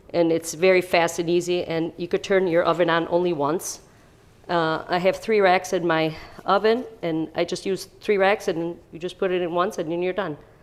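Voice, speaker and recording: In a Chicago accent, a woman speaks with a fairly low pitch and monotone, flat intonation. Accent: Chicago American English. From US Midwest, Chicago (born in Italy, moved at 8). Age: 60s. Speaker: home baker, parishioner. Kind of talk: cooking demonstration. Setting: kitchen. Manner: casual, hesitant with fillers.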